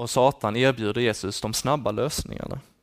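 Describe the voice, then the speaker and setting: On a very clean recording with a silent background, a man talks at a moderate pace. He has a normal speaking voice of medium pitch, with ordinary pitch variation. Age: 20s. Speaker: student teacher giving a sermon. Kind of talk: sermon.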